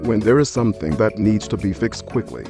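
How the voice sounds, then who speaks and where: Music plays in the background as a man with a fairly low pitch speaks with lively intonation. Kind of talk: TV commercial read.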